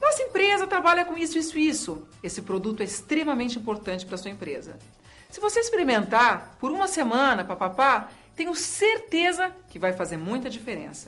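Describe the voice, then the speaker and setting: A woman performs a put-on character voice that sounds robotic, high-pitched and swinging very widely in pitch at a fairly quick pace. Faint music plays in the background. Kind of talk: corporate sales pitch. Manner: salesy, fast, pitching.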